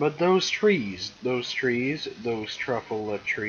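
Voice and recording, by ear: Lively intonation from someone reading aloud in a natural voice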